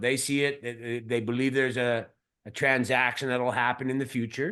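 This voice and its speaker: With a Canadian accent, a man speaks at a fairly quick pace against a quiet background. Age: 50s. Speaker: mining company CEO. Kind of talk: interview. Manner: halting, repeats words.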